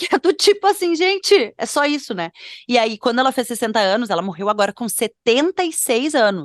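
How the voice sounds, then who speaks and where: Woman with a high pitch and very wide pitch swings, in a dry, close sound with no echo against a quiet background. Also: moderate pace. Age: 30s. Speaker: fashion podcast co-host. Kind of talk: casual podcast chat. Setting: at home.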